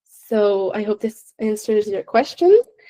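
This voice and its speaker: Speaking at a fairly slow pace, a woman has a non-native accent and a dark, mellow tone. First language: not English. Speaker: science presenter. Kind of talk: presentation Q&A. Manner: hesitant, many fillers.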